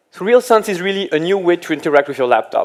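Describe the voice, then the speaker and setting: This man speaks with a French accent. His pace is very fast. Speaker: application engineer. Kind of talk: tech presentation.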